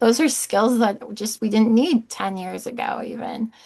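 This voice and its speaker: A plain, everyday voice from a woman, fairly high in pitch, over a quiet background. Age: 30s. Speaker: regional church executive. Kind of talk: interview conversation.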